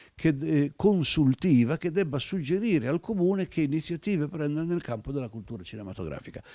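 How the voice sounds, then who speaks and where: A man with a fairly high voice speaks with very wide pitch swings. The sound is dry with no echo, against a quiet background. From Italy. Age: 70s. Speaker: retired film archive director; interview guest. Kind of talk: interview storytelling. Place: home room. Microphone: handheld.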